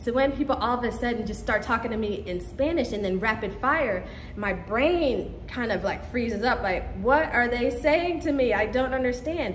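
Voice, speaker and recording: Against noticeable background noise and audible room echo, a woman with a high pitch talks at a moderate pace with ordinary pitch variation and hardly any pauses. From Caribbean. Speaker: vlogger. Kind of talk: casual vlog talk.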